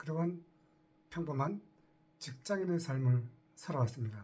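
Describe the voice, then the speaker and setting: A man's somewhat breathy voice in a dark, mellow tone, with ordinary pitch variation and a very slow pace. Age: 60s. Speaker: retiree turned online entrepreneur. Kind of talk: casual talk to camera.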